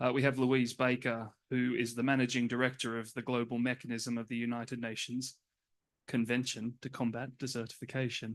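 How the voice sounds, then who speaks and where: Over a quiet background, a man with an Australian accent talks at a moderate pace and medium pitch, his intonation flat and monotone. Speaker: panel moderator. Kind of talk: conference panel introduction. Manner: hesitant, many fillers.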